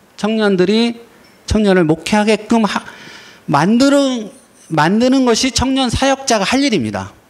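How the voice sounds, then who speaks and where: The pitch moves in an ordinary way at a fairly slow pace. Noticeable background noise runs underneath. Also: man, high pitch for a man, very even loudness. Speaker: pastor and lecturer. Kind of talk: lecture. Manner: halting.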